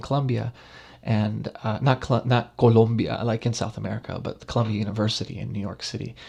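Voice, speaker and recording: A man talks at a very fast pace in a medium pitch. His delivery is somewhat breathy, with monotone, flat intonation. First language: Spanish. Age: 30s. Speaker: professor. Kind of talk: lecture. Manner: halting, many fillers and repetitions.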